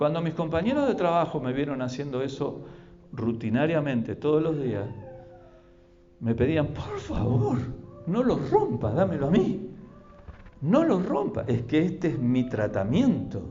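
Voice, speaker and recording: A man with a fairly high pitch talks at a fairly slow pace, leaving long, frequent pauses. His intonation is lively, with audible room echo and noticeable background noise. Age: 60s. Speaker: pastor. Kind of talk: sermon. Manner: halting, repetitive.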